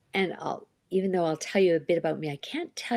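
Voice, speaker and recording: A woman speaks with a medium pitch. Her tone is dark and mellow. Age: 60s. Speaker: life coach and author. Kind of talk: interview.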